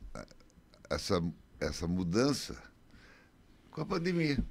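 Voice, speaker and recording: Vocal fry marks this man's speech, and his pitch swings very widely. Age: 70s. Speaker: retired business owner. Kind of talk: radio interview. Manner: halting.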